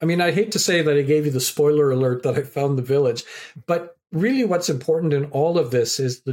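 In a very clean recording with a silent background, a man with an ordinary speaking voice talks at a fairly quick pace, his pitch fairly high and his loudness very even. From Canada. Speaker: professor and community activator. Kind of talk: podcast interview.

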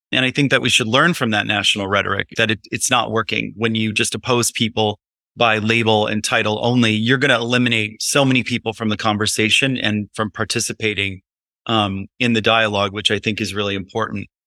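A man with an American accent speaks fairly quickly in a fairly low, bright and sharp voice, his intonation fairly even and the sound dry and close with no echo. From Illinois. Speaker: town supervisor. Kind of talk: interview.

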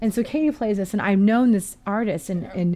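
With an American accent and a medium-pitched, dark, mellow tone, a woman talks at a fairly quick pace with lively intonation on a very clean recording over a silent background. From US West Coast, Portland. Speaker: music therapist. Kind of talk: casual chat. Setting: studio.

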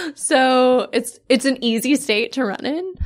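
The speech comes at a fairly slow pace with vocal fry. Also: woman. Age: 30s. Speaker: feminist organizer and business owner. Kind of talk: interview.

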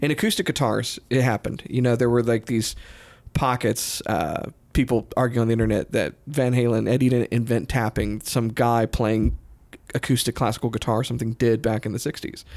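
A man talks at a fairly quick pace in a medium pitch, with vocal fry and fairly even intonation. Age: 40s. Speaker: guitar podcast host. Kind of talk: casual chat.

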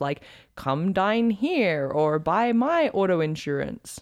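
Quiet background behind a woman with an American accent. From Australia. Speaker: podcast co-host, personal trainer. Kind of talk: casual chat. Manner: awkward.

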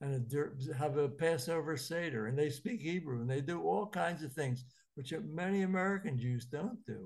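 Somewhat breathy, a man speaks at a fairly slow pace with lively intonation. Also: quiet background. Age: 80s. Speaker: rabbi and lecturer. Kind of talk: lecture. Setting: video call.

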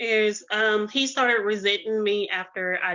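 At a fairly slow pace, a woman of medium pitch talks in an unremarkable speaking voice. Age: 30s. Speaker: caller. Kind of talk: call-in debate. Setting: phone call.

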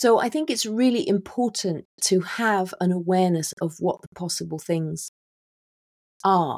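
A woman with a British accent, medium pitch and lively intonation, in a dry, close sound with no echo. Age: 50s. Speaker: author and midlife mentor. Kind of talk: interview.

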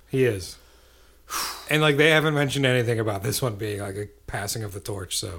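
A man with an animated tone and medium pitch speaks at a fairly quick pace with ordinary pitch variation. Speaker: podcast co-host. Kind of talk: casual banter. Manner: jokey, animated.

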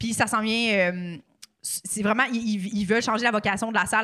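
Bright and sharp in tone, a woman with a Quebec accent speaks at a fairly quick pace and a fairly high pitch, on a very clean recording with a silent background. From Quebec City. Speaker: comedian and podcaster. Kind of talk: casual chat. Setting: studio.

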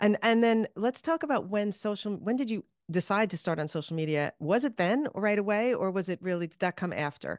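A normal speaking voice from a woman at a medium pitch, with lively intonation and a fairly quick pace, over a quiet background. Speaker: podcast host. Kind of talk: interview, live workshop chat. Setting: live online workshop.

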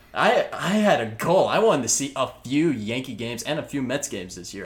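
Speaking at a medium pitch, a man makes very wide pitch swings at a moderate pace with hardly any pauses. Noticeable background noise is present. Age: 20s. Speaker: podcast host. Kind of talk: casual chat.

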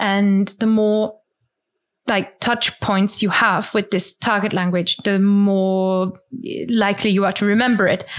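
Over a very clean recording with a silent background, the voice comes in a German accent at a fairly slow pace, its intonation monotone and flat. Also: woman. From rural Germany. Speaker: language teacher and podcaster. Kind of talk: interview.

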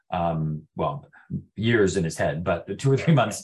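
A man speaks in a very deep, low voice. He has a Western Canadian accent. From Prince George, British Columbia, Canada. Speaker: real estate broker and theatre company owner. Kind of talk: casual interview. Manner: halting, many fillers and repetitions.

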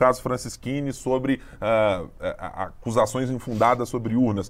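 A normal speaking voice from a man, with a medium pitch and fairly even intonation. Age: middle-aged. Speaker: podcast host, political journalist. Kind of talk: political analysis chat.

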